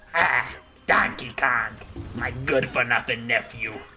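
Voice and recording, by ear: A man uses a raspy, put-on character voice at medium pitch. He speaks at a fairly slow pace.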